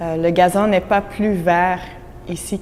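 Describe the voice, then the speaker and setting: The pace is very slow. This woman's voice sits at a medium pitch. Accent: Dutch. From Belgium (Flemish). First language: Dutch (speaking French). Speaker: immigrant employee. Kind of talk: interview testimony.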